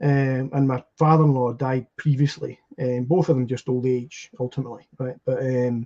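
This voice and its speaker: With a Scottish accent, a man speaks at a moderate pace in a dark, mellow tone, his intonation monotone and flat, with hardly any pauses. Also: medium pitch for a man, dry, close sound with no echo. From Scotland. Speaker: podcast guest. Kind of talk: casual chat. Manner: halting.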